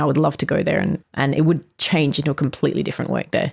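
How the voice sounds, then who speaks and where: A woman with an Australian accent. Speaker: visual artist and filmmaker. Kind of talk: casual interview chat. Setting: podcast interview.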